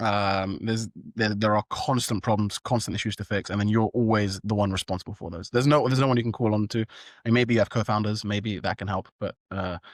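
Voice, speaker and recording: In a British accent, a man with a fairly low pitch talks very fast with hardly any pauses and fairly even intonation, the sound dry and close with no echo and the recording very clean against a silent background. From London, England. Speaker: startup founder. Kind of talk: interview. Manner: hesitant, many fillers.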